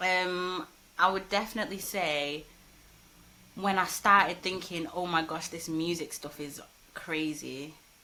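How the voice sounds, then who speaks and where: The tone is bright and sharp, delivered at a fairly slow pace with fairly even intonation. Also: woman, long, frequent pauses. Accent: Manchester. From Manchester, England. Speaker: rapper and poet. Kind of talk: casual interview.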